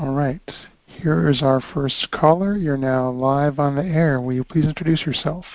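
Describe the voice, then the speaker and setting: This man has an ordinary speaking voice, fairly high in pitch, with ordinary pitch variation at a moderate pace. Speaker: call-in show moderator. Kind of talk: reading a practice then moderating calls. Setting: phone call.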